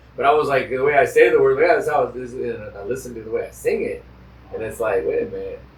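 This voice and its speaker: A man talks at a very fast pace with big swings in loudness and audible room echo. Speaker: podcast host and traditional singer. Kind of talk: casual interview chat. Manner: relaxed, conversational.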